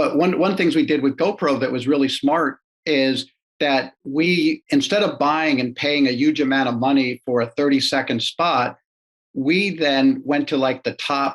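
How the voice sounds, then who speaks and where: This man has a fairly high pitch, ordinary pitch variation and a moderate pace. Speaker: marketing executive. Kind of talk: interview. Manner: quiet; halting.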